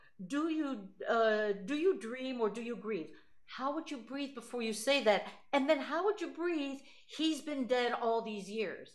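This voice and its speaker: A woman's high, warm voice with lively intonation at a fairly slow pace. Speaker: voice teacher. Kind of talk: voice lesson. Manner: warm, effusive. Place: home room. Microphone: video call.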